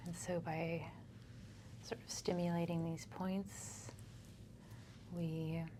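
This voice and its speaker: Soft-spoken and somewhat breathy, a woman with a fairly low pitch talks at a very slow pace in a calm tone, with ordinary pitch variation and long, frequent pauses. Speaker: acupuncturist and energy healer. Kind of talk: soft-spoken ASMR treatment session with a patient. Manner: soft-spoken, calm.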